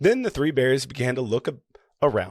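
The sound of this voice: The background stays quiet. An unforced reading voice is heard.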